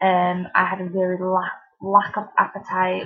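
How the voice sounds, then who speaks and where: With a strong Mancunian accent, a woman speaks in a flat monotone at a medium pitch. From Manchester, England. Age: 20s. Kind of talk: casual talk to camera.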